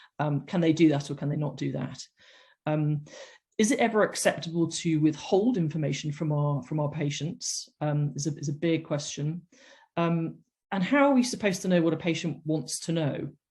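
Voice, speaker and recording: With a British accent, a woman speaks at a moderate pace in a very deep, low pitch, her tone dark and mellow and somewhat breathy, with ordinary pitch variation against a quiet background. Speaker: doctor giving a medicolegal webinar. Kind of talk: lecture. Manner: halting, many fillers.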